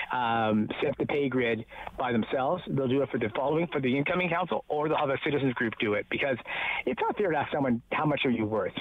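In a normal speaking voice, a man with a Canadian accent talks at a fairly quick pace, his fairly high pitch showing ordinary variation in a dry recording with no echo. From Ontario, Canada. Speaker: newspaper reporter; local newspaper reporter. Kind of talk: casual chat. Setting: phone call outdoors. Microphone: phone line.

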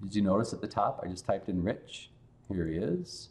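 A man with vocal fry and a dark, mellow tone, at a moderate pace

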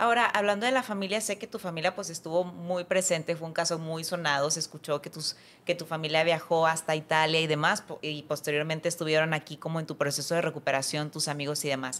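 A woman with a fairly low voice talks at a very fast pace with hardly any pauses and ordinary pitch variation. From Mexico. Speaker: podcast host. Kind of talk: interview. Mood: warm, emotional, animated. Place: studio. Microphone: studio mic.

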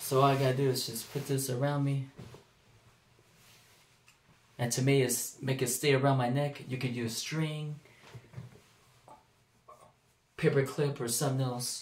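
Over light background noise and audible room echo, a man speaks at a moderate pace with monotone, flat intonation and long, frequent pauses. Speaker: home craft vlogger. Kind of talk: casual vlog chat. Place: home room. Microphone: phone near.

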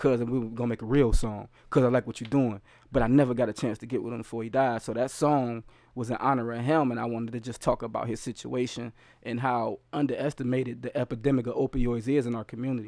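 Over a quiet background, a man speaks very fast in a dark, mellow tone with monotone, flat intonation and a dry sound with no echo. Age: 30s. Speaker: rapper and youth educator. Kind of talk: casual chat. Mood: earnest, reflective. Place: home room. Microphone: studio mic.

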